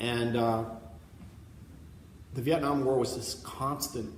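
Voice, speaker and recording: There is audible room echo as a man talks at a medium pitch and a fairly slow pace. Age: 60s. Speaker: painter. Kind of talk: artist talk interview. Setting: gallery with audience. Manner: halting, with many repetitions. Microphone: laptop mic, poor recording.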